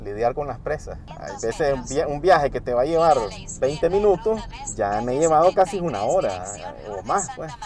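A man speaks at a moderate pace with a fairly high pitch, very wide pitch swings and big swings in loudness, in a dry sound with no echo over light background noise. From Nicaragua. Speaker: app-based taxi driver. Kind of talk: interview testimony. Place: car.

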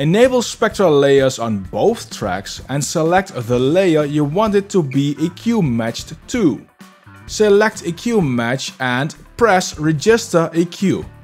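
Faint music plays in the background. A man speaks at a very slow pace. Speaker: audio software reviewer. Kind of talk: tutorial. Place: home room. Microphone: studio mic.

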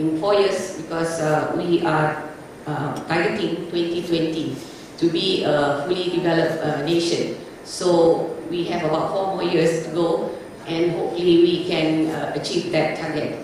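Strong room echo and light background noise surround a woman with a fairly low pitch. She speaks fairly slowly in a monotone, flat way. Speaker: conference presenter. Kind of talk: lecture. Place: hall.

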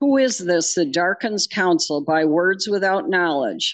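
A woman's normal speaking voice, fairly low in pitch, with lively intonation at a fairly slow pace, dry with no echo against a quiet background. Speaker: lay scripture reader. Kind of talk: reading aloud. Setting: church. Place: church.

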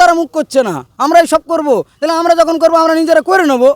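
A man with an extremely high pitch speaks in a dry, close sound with no echo. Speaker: local resident protester. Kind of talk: angry street interview. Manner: animated.

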